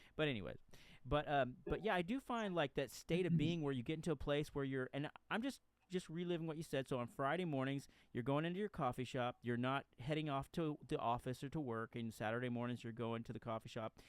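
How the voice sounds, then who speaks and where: A man talks at a very fast pace with a fairly high pitch. His pitch varies in an ordinary way. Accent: Texan. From Texas. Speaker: podcast host, author. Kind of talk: casual interview chat. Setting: late-night home recording. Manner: halting.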